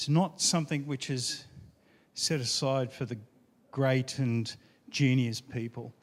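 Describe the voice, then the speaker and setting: The speaker uses fairly even intonation with an Australian accent. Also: man. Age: 50s. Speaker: IT engineer, retro computing enthusiast. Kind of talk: conference talk.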